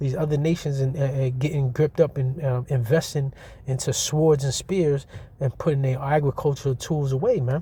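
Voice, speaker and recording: A man's somewhat breathy voice, fairly high in pitch, dark and mellow in tone, with fairly even intonation. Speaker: street preacher / religious teacher. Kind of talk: scripture teaching. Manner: fast; casual, repetitive.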